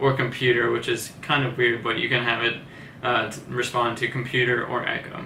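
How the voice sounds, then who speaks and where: A man talks with audible room echo and noticeable background noise around him. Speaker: tech reviewer. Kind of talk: product review. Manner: soft-spoken; casual.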